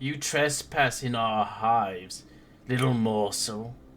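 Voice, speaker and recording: A rumbling, put-on character voice from a man at medium pitch, at a fairly slow pace. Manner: menacing, taunting.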